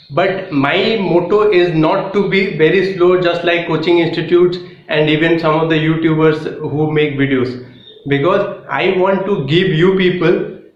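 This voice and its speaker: A man's high-pitched voice at a fairly slow pace, with audible room echo and noticeable background noise. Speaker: exam coaching YouTuber. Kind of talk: lecture. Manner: halting, with fillers.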